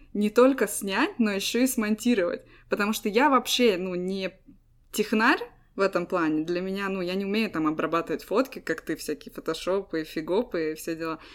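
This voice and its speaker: Using an unremarkable speaking voice, a woman talks at medium pitch with lively intonation. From Estonia. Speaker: podcast co-host. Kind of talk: casual chat.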